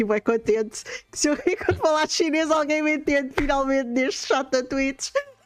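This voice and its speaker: At a fairly quick pace and with ordinary pitch variation, a woman speaks over noticeable background noise. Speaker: streamer and podcast host. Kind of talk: casual chat. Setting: live stream. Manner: fast.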